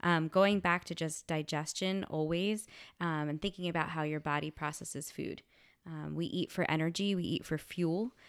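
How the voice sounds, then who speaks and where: In a very clean recording with a silent background, a woman talks at a moderate pace in an ordinary speaking voice, her fairly low pitch carrying fairly even intonation. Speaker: science teacher; middle school teacher and wellness instructor. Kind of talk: casual interview.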